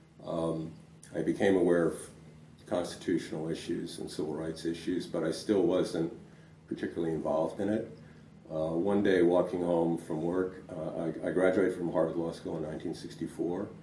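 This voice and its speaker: A man with an American accent speaks at a moderate pace in a very deep, low voice. His intonation stays fairly even, and room echo is audible. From US Northeast, Providence, Rhode Island. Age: 70s. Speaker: lawyer and civil rights veteran. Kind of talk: oral history interview. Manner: hesitant, many fillers.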